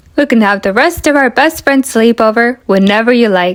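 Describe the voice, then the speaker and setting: Someone talks at a moderate pace in a put-on character voice. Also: woman, fairly high pitch for a woman. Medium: read story. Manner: slow, mild, drowsy.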